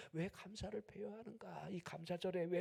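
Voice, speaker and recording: In a high pitch, the man delivers his words at a fairly slow pace. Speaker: pastor. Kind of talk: sermon.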